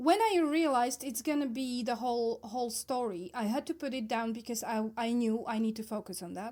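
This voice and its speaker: A woman with a non-native accent speaks at a high pitch in a dark, mellow tone, moving at a fairly quick pace with hardly any pauses. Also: ordinary pitch variation. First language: not English. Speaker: book podcast co-host. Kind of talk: casual chat. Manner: animated.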